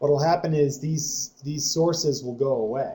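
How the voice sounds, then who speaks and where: Here a man speaks at a moderate pace, somewhat breathy. His voice is fairly high, with a dark, mellow tone. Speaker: software trainer. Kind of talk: tutorial.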